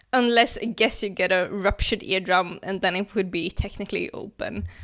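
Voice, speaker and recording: A woman with a plain, everyday voice speaks at a medium pitch and a fairly quick pace, with ordinary pitch variation. The recording is very clean, with a silent background. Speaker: science explainer YouTuber. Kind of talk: casual educational video commentary.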